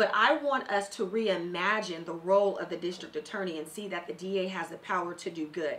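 A woman with an American accent, fairly quick in pace with hardly any pauses and ordinary pitch variation. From Southeast San Diego, California; California. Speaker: candidate for district attorney; candidate. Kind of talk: radio interview. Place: studio. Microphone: studio mic.

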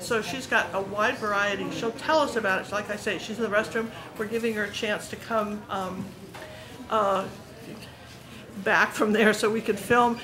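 A woman speaks at a moderate pace with fairly even intonation and long, frequent pauses. Background noise is noticeable. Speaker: visitor vlogger. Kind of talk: casual vlog chat. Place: shop. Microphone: phone near.

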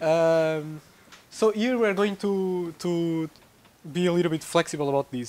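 With a Portuguese accent, a man speaks at a moderate pace and ordinary pitch variation. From Portugal. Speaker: researcher giving a tutorial. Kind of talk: lecture. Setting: lecture room with audience. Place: classroom.

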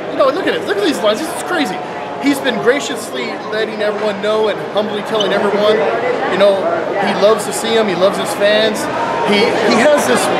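Loud background noise runs under a man speaking at a fairly quick pace. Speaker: fan host. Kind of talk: casual talk to camera. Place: hall. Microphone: camera far.

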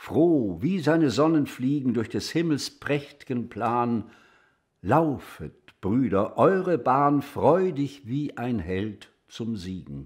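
A man at a very slow pace, lively in intonation, against a quiet background. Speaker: actor reading poetry. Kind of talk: poetry reading.

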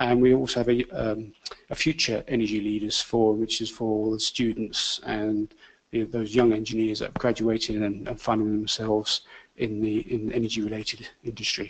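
Speaking with a British accent, a man uses a fairly low pitch, fairly even intonation and a moderate pace. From UK. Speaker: engineering organisation chair; presenter. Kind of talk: panel presentation. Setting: lecture hall with audience. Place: classroom.

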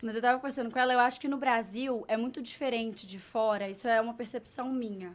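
A woman talks very fast, with hardly any pauses. Her pitch sits fairly high and her intonation stays fairly even. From Brazil, Minas Gerais. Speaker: fashion influencer. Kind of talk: casual interview. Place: studio. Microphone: studio mic.

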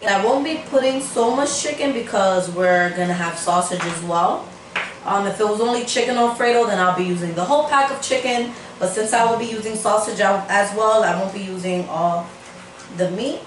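Audible room echo and light background noise surround a woman's voice. She speaks at a moderate pace with ordinary pitch variation. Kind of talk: casual cooking tutorial. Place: kitchen. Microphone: camera far.

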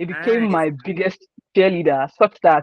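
A man with a Nigerian accent talks at a fairly quick pace. The sound is dry with no echo, over a quiet background. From Nigeria, Osun State. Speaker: sports journalist. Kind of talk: interview. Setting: video call. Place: home room. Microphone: video call.

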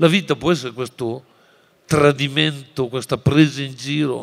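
Vocal fry at a fairly slow pace, with ordinary pitch variation. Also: man. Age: 60s. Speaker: teacher and writer; teacher. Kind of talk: lecture. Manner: animated. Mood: passionate, expressive. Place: hall. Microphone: podium.

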